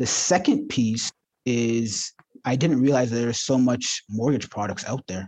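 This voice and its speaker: Speaking in a plain, everyday voice, a man at medium pitch with a Canadian accent keeps a fairly even intonation. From Ontario, Canada (Ajax, Toronto suburbs). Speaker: mortgage broker. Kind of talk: interview.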